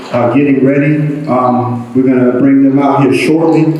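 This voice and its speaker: Someone with an American accent speaks at a moderate pace with fairly even intonation. Audible room echo and noticeable background noise are present. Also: man. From Eastern North Carolina, US South. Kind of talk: public talk to an audience. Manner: hesitant, many fillers.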